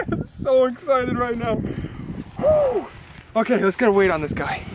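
Over loud background noise, a man speaks at a moderate pace in a dry recording with no echo. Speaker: angler vlogger. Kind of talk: excited casual vlog chat. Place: waterside. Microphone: camera far.

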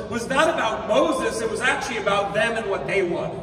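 Very wide pitch swings amid light background noise and audible room echo. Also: man. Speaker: pastor. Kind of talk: sermon. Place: hall.

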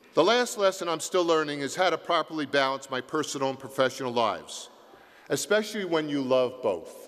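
In a normal speaking voice, a man talks with an American accent. His intonation is lively and his pace fairly quick. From US Northeast, South Jersey. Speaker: university president emeritus, commencement speaker. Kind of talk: commencement address. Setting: concert hall stage with audience.

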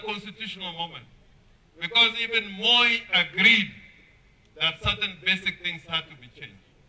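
This man's voice sits high in pitch and shows ordinary pitch variation. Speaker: politician addressing a rally. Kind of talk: political speech. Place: street. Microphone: handheld.

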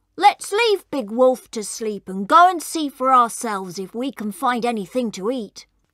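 In a put-on character voice, a man speaks fairly slowly at an extremely high pitch, with a bright, sharp tone and lively intonation, in a very clean, dry, close recording with a silent background and no echo.

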